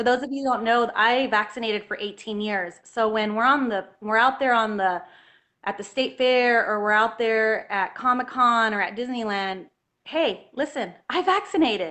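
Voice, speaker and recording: This speech keeps a moderate tempo, and its pitch varies in an ordinary way. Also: woman, fairly high pitch for a woman. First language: Spanish. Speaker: health freedom activist, homeschooling mother. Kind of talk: interview on livestream.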